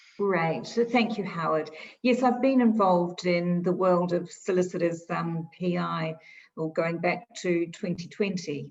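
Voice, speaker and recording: Fairly slow speech in a New Zealand accent, with ordinary pitch variation. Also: woman. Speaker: insurance expert. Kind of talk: interview.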